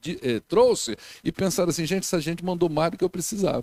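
High-pitched male voice, dry and close with no echo, on a very clean recording with a silent background. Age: 50s. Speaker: pastor. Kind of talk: sermon.

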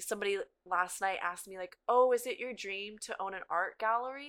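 A woman speaks in a plain, everyday voice with fairly high pitch. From Florida, US South; moved to California 2002. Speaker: massage therapist. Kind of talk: casual interview.

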